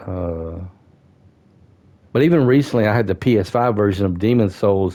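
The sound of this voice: A man's fairly low voice, dark and mellow in tone, with ordinary pitch variation. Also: moderate pace.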